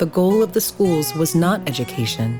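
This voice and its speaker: The speech keeps a moderate pace, with music in the background. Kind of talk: documentary narration.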